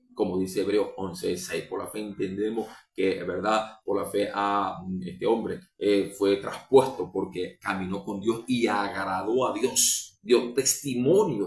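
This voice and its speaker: Fairly slow speech from a man, in a room with audible echo. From Venezuela. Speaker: preacher. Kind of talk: sermon. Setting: livestream or recorded program.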